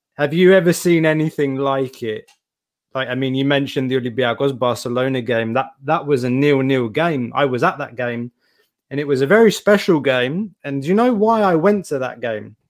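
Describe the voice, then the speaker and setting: In a plain, everyday voice, a man speaks at a moderate pace with a fairly high pitch and lively intonation. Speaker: podcast co-host. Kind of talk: interview.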